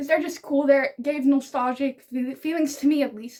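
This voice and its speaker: A high-pitched woman talks at a moderate pace. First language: Dutch. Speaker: book YouTuber. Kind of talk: casual vlog talk to camera. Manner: animated.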